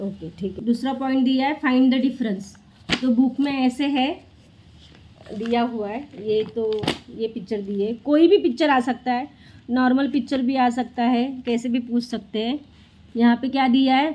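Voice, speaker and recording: A dark, mellow tone at a moderate pace, fairly even intonation and long, frequent pauses. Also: woman, high pitch for a woman. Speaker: mother and family vlogger. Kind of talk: tutoring a child at home, vlog. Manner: loud.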